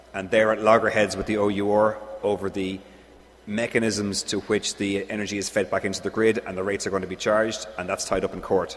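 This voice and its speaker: A man talks at a fairly quick pace in a strong Irish accent. His pitch is fairly low and his intonation monotone and flat. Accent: Irish, thick. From Ireland. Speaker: engineer presenting at a conference. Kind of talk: conference Q&A answer.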